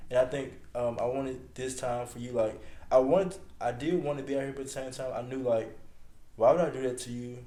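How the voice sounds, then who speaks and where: A man mumbles at a fairly quick pace, his medium-pitched voice dark and mellow in tone, with fairly even intonation. His loudness swings widely, and room echo is audible. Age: 20s. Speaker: podcast host's boyfriend. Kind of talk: casual chat. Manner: mumbling.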